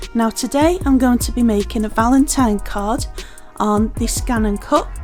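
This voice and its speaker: Music plays in the background as a woman with a Liverpool accent speaks at a moderate pace. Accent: Scouse. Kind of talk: craft tutorial voiceover. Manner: casual, chatty.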